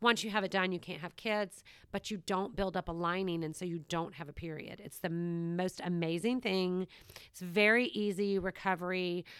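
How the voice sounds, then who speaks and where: In a normal speaking voice, a woman with an American accent talks at a moderate pace and medium pitch with fairly even intonation, recorded very cleanly against a silent background. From US South, Savannah, Georgia. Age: 50s. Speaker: podcast host. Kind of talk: casual chat.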